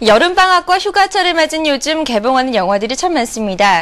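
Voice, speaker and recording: Her voice is high-pitched and moves through very wide pitch swings. The woman keeps a moderate pace. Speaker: news anchor. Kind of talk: TV entertainment news intro. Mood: bright, friendly. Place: studio. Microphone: lapel.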